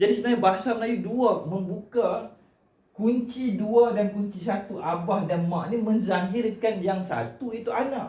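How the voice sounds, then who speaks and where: Loud and high-pitched for a man, his voice carries a dark, mellow tone at a fairly slow pace, with audible room echo around it. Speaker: cultural commentator, vlogger. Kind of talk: monologue to camera on Malay language and heritage. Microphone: no microphone, camera only, short distance.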